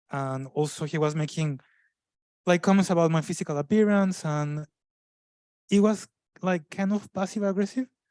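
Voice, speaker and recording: On a very clean recording with a silent background and a dry, close sound with no echo, a man speaks at a high pitch with ordinary variation and long, frequent pauses. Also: moderate pace. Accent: strong non-native. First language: not English. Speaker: panelist, migrant professional. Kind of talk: panel discussion. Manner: halting, many fillers and restarts.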